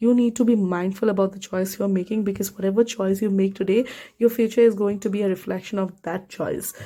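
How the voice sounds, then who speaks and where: Speaking at a fairly quick pace with a non-native accent, a woman uses a medium pitch, a dark, mellow tone, and a monotone, flat intonation. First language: not English. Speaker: tarot reader. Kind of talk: tarot reading to camera. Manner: casual, halting with self-corrections.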